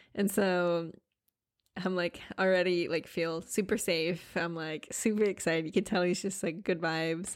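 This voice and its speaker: With an American accent, a woman talks at a moderate pace in a fairly low pitch on a very clean recording with a silent background. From Nebraska. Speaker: podcast host, money mindset coach. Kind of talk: solo podcast monologue. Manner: animated.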